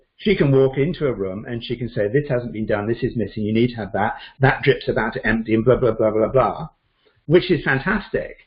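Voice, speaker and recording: This man has a British accent and lively intonation. His voice is somewhat breathy. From Britain. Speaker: Chinese medicine doctor. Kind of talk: interview answer.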